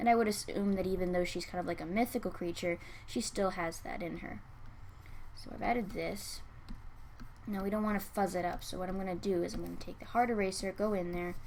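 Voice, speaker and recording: A soft-spoken woman talks at a very fast pace, her medium pitch held in fairly even intonation. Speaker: digital artist and art critic. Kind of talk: art critique tutorial narration. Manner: soft-spoken, quiet.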